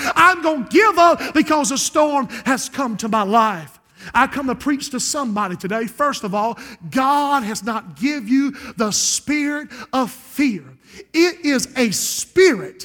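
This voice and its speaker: A man's extremely high, bright, sharp voice, raised and projected, with an American accent and a fairly slow pace. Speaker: pastor. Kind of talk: sermon. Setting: church. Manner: animated.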